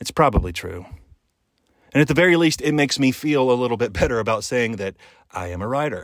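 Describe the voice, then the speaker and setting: On a very clean recording with a silent background, a man speaks at a moderate pace and medium pitch in an animated tone with lively intonation. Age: 50s. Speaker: podcast host. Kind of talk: monologue podcast.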